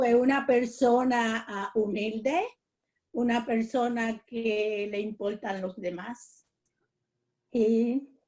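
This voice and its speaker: Speaking at a very slow pace, a woman with a fairly high voice leaves long, frequent pauses. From Puerto Rico. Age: 80s+. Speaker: interviewee, senior community member. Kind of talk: interview. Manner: halting, with fillers.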